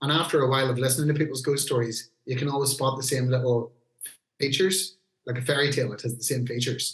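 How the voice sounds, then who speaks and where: A man with a Northern Irish accent, fairly high in pitch, somewhat breathy, at a very fast pace with fairly even intonation. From Northern Ireland, Newry, County Down. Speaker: heavy metal singer. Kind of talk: casual podcast interview.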